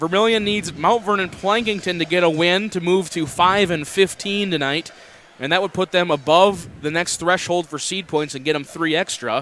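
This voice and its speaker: A man speaks at a moderate pace in a high, bright and sharp voice with fairly even intonation. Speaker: basketball play-by-play commentator. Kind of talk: live sports commentary.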